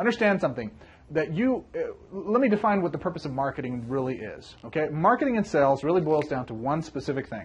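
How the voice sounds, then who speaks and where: Speaking at a very fast pace, a man with a fairly high voice makes very wide pitch swings. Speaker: MLM business coach. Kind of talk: tutorial. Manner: animated.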